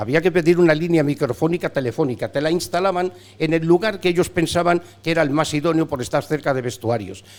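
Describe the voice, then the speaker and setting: Very fast delivery from a man with a fairly high voice and ordinary pitch variation. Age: 70s. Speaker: veteran sports radio broadcaster. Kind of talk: casual interview chat. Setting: bar.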